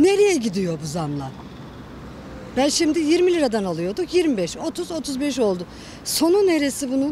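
A woman with a high pitch speaks at a fairly slow pace with very wide pitch swings, in a dry sound with no echo and light background noise. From Kayseri, Turkey; Turkey. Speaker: interviewee on the street; interviewee. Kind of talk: street interview. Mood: worried, indignant about prices. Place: street. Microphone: handheld.

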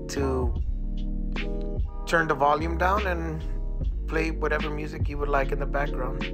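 Music plays in the background as someone speaks at a moderate pace. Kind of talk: channel intro narration.

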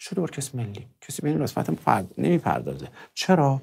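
The pace stays moderate as a man talks. His pitch swings very widely. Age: 40s. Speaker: music producer; interview guest. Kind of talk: interview. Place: studio. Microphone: lapel.

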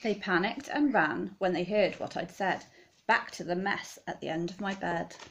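A woman speaks at a moderate pace in an animated, playful tone. Her pitch varies in an ordinary way. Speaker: teacher reading aloud. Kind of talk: children's story reading aloud, rhyming picture book, bedtime-story style. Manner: animated, playful, dramatic expression. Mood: warm, expressive storytelling. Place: home room. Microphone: phone near.

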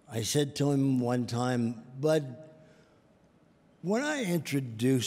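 Ordinary pitch variation marks this man's voice. He speaks at a very slow pace. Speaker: presenter. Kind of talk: tribute speech. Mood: warm, affectionate remembrance. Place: hall. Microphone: podium.

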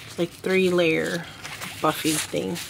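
Over noticeable background noise, the speech unfolds at a fairly slow pace. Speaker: doll collector reviewer. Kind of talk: product review. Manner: halting. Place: home room.

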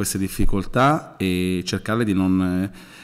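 A man does the talking. Behind him, music plays. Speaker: football coach. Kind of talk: pre-match press conference. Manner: halting. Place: hall. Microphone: podium.

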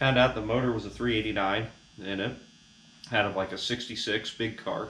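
A man speaks at a fairly low pitch. Light background noise and audible room echo surround him. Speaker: car hobbyist vlogger. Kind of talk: casual vlog chat. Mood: relaxed, wry humor. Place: garage. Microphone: camera far.

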